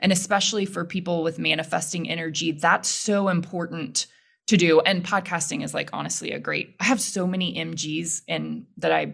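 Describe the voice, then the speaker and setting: A woman speaks with an American accent at a fairly quick pace, her pitch fairly low with vocal fry. The recording is very clean, with a silent background. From Texas (Houston). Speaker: podcast host. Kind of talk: casual interview conversation.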